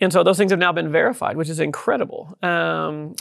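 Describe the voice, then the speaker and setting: Someone with a Texas accent talks at a very fast pace. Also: man. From southeast Texas. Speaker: tech company founder and CEO. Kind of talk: interview.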